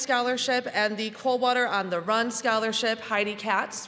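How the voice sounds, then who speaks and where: Loud and with fairly even intonation, a woman with a Midwestern American accent talks at a moderate pace over noticeable background noise. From US Midwest, Michigan. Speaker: community foundation director. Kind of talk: award ceremony speech. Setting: school gymnasium with audience, PA system.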